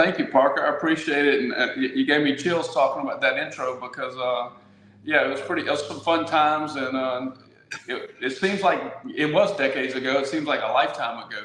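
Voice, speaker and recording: A man with a Louisiana accent speaks at a fairly quick pace. The recording has audible room echo and noticeable background noise. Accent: Louisiana Southern. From Louisiana (Baton Rouge). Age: 60s. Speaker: local politician. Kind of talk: interview.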